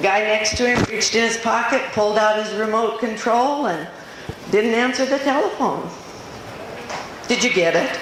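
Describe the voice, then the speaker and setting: Over noticeable background noise and audible room echo, a woman with an American accent speaks at a moderate pace in a fairly high pitch. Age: 70s. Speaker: motivational speaker. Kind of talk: inspirational talk. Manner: animated.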